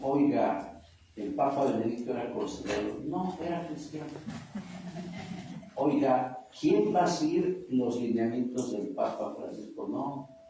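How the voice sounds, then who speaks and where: Speaking very slowly, a man uses a fairly high pitch with ordinary pitch variation. Noticeable background noise and audible room echo fill the recording. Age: 60s. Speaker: priest. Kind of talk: sermon.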